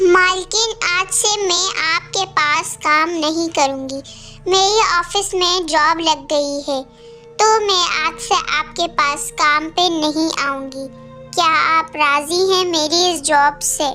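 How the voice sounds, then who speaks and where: A woman's cartoonish character voice at an extremely high pitch, fairly slow in pace, with clear music in the background. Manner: meek, respectful.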